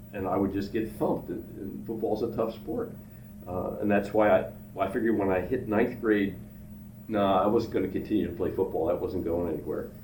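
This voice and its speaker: A man with an American accent talks at a fairly quick pace in a fairly low, somewhat breathy voice with a dark, mellow tone. His intonation stays fairly even, and audible room echo surrounds him. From Pennsylvania, Philadelphia suburbs. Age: 70s. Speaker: retired businessman, father of the host. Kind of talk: casual interview chat.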